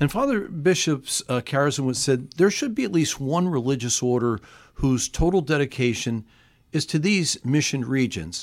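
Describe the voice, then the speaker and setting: A man with a fairly high pitch talks at a moderate pace with lively intonation, in a very clean recording with a silent background. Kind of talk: radio interview. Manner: halting, many fillers and restarts.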